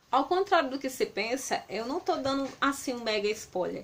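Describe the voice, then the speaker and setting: A woman's lively intonation at a moderate pace. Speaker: book reviewer. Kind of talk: book review vlog. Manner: halting.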